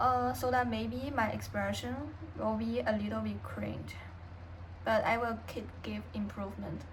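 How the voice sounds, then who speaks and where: Speaking at a fairly slow pace in a Chinese accent, a woman is heard with audible room echo. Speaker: vlogger. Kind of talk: personal vlog, unscripted. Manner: halting, with many pauses and fillers.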